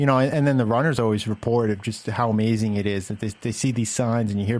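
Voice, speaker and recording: An American-accented man rattles along at a very fast pace with hardly any pauses, medium pitch and fairly even intonation. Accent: Boston accent, comes out more as he talks. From Massachusetts, Boston suburbs (Framingham). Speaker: philosophy professor, podcast host. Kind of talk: casual chat. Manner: hesitant, many fillers.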